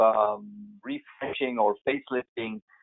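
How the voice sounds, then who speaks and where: A man is speaking. He has a German accent. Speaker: landscape architect. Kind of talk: webinar Q&A. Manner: halting.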